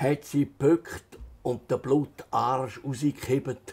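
A man speaks at a very slow pace. His voice has vocal fry. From Switzerland, Altstätten (St. Gallen Rheintal); Switzerland. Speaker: author; interviewee. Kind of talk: reading aloud; interview. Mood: calm, storytelling. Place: home room. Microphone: lapel.

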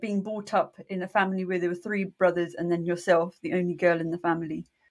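A woman with a British accent talks at a fairly quick pace in a medium pitch, with hardly any pauses. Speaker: podcast co-host. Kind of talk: casual interview chat.

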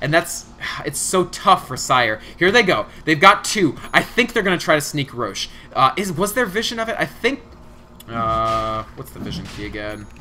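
A man with an animated tone at a moderate pace, fairly high in pitch, with very wide pitch swings and big swings in loudness, over noticeable background noise. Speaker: esports caster. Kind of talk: live commentary. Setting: solo stream casting.

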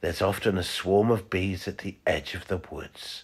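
A very deep, low male voice, gentle in tone and somewhat breathy, at a fairly slow pace on a very clean recording with a silent background. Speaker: narrator. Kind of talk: children's story narration. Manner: gentle, slow storytelling.

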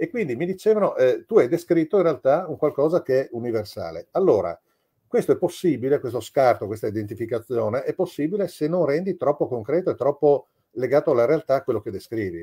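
A man talks at a fairly quick pace with lively intonation in a somewhat breathy voice. The background is quiet. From Italy. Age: 60s. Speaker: novelist; guest. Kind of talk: interview. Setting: video call. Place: home room. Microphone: video call.

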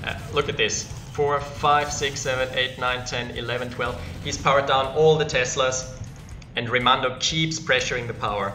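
At a moderate pace and with fairly even intonation, a man speaks over clear background noise. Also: medium pitch for a man.

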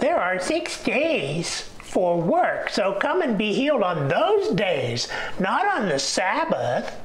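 Clear background noise sits behind a put-on character voice. The delivery is very slow, at a fairly high pitch. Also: female-sounding voice. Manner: grumpy, cantankerous, combative, snarky.

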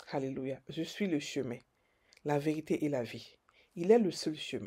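On a very clean recording with a silent background, a woman speaks fairly slowly in a dark, mellow tone with lively intonation. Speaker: preacher. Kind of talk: devotional sermon-style meditation. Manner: emphatic, repetitive, preacher cadence with Alleluia refrains; fervent, declarative, stumbling repetitions.

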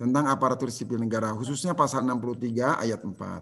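A man talking at a fairly quick pace with ordinary pitch variation. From West Java, Tasikmalaya; West Java. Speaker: civil service trainer. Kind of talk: online lecture. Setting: video call. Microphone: video call.

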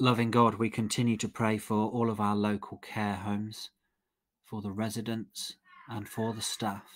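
Moderately paced, a man talks in a monotone, flat intonation. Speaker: prayer leader. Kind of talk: led evening prayer, liturgy and intercession, fervent and devotional at 14:19. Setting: online live-streamed service. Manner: warm, earnest, measured; fervent, pleading, reverent in prayer.

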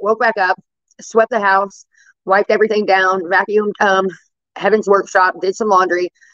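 The speaker talks at a fairly quick pace in a monotone, flat intonation against a quiet background. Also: woman. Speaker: livestream host. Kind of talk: casual vlog chat. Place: home room. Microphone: phone near.

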